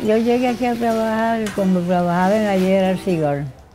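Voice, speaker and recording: Music plays in the background as a woman talks at a fairly slow pace and medium pitch with ordinary pitch variation. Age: 70s. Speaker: tobacco leaf stripper and cigar maker. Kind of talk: interview answer.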